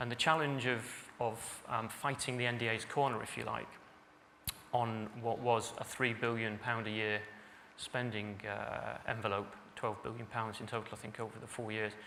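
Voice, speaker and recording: A man speaks at a moderate pace in a medium pitch with flat, monotone intonation, and the room echo is audible. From northern England, Salford. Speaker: senior civil servant. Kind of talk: conference speech. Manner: hesitant, many fillers (um, uh).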